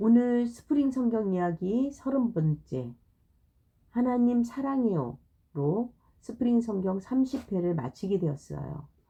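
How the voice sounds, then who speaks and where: A woman speaks very slowly in a dark, mellow, somewhat breathy tone. Her intonation is lively. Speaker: Bible storyteller for children. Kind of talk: reading aloud. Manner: halting.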